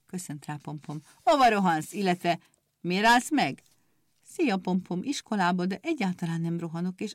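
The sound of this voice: The reading voice is unforced, its intonation lively, and the background quiet.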